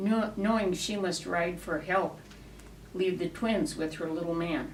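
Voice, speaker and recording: Over noticeable background noise, a woman speaks at a fairly slow pace. Her pitch sits fairly low and varies in an ordinary way. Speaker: cowboy poet. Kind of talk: poetry reading.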